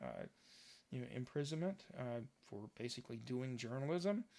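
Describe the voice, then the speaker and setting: A man with an American accent talks at a moderate pace at a medium pitch. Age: 60s. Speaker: political commentary podcaster. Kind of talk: solo commentary monologue. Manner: hesitant, many filler words.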